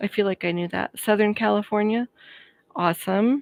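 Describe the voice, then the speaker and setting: The sound is dry and close, with no echo. A woman with an American accent speaks at a moderate pace and medium pitch. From Colorado. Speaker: YouTube creator. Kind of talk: live stream chat. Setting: live stream. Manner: casual, chatty.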